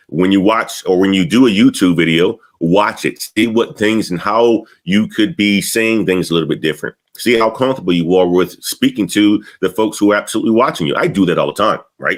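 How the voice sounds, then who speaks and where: An energetic man talks at a fairly quick pace in a fairly low pitch with ordinary pitch variation. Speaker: career coach youtuber. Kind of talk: educational talk to camera. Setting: home studio. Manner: energetic, sometimes fast.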